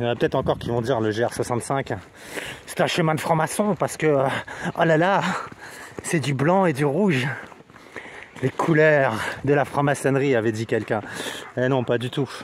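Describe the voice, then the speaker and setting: There is noticeable background noise as a man speaks at a moderate pace with ordinary pitch variation. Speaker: hiking vlogger. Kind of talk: casual vlog narration. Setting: outdoors on a hiking trail. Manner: hesitant, many fillers; speaking quietly.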